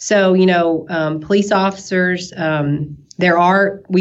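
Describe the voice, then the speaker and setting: A woman with a slight Southern US accent, fairly low pitch and fairly even intonation. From US South, East Tennessee. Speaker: nurse. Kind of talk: interview. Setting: podcast. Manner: talkative.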